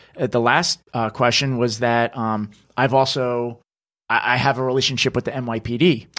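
Here a man with an American accent has an unremarkable speaking voice at medium pitch and a moderate pace. The recording is very clean, with a silent background. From northern New Jersey. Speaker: social media creator, former producer. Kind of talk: casual interview. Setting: studio video podcast.

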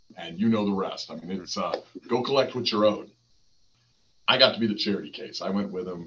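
With an American accent, the man's fairly low voice rushes by at a very fast pace. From Texas, near El Paso. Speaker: entrepreneur and business advisor. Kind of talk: interview. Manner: animated.

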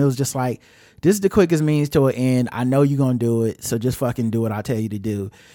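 The man's dark, mellow tone moves at a fairly quick pace. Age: 40s. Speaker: podcast host, movie reviewer. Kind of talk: casual chat. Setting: remote recording.

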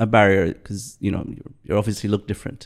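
A man speaks with an Arabic accent. His pace is fairly quick. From Bahrain. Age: 50s. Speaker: interview guest. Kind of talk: casual interview.

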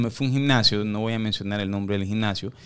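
His pitch is medium with ordinary variation, and the man is captured on a very clean recording with a silent background. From New York, USA (Ecuadorian-born, raised in US from age 4). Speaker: boxing coach. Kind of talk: casual chat.

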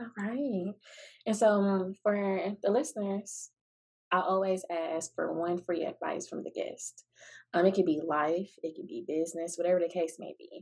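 A woman at medium pitch with ordinary pitch variation, speaking at a fairly slow pace with big swings in loudness. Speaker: podcast host. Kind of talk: casual interview conversation. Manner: animated, upbeat.

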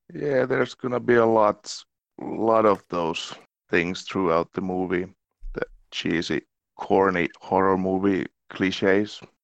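With a Finnish accent, a man speaks at a fairly slow pace with long, frequent pauses, his fairly low pitch showing ordinary variation, in a dry, close sound with no echo against a quiet background. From Finland. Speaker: actor. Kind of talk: casual chat.

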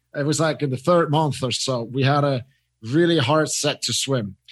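Against a quiet background, a man with a Swiss accent speaks at a fairly high pitch with fairly even intonation. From Switzerland. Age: 30s. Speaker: mindset coach and former swimmer. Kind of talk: casual interview. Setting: remote call from Zurich.

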